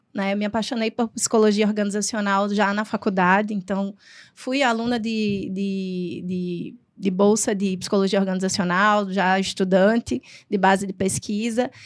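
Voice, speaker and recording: Speaking in a northeastern Brazilian accent, a woman keeps a moderate pace and fairly even intonation on a very clean recording with a silent background. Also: medium pitch for a woman. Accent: noticeable Northeastern Brazilian. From Rio Grande do Norte, Brazil (Northeast). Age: 40s. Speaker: psychologist, HR professional. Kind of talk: podcast interview.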